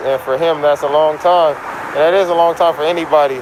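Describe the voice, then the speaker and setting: A man with an American accent talks at a moderate pace in a monotone, flat intonation, with noticeable background noise. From Los Angeles. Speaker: street interviewer. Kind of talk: street interview.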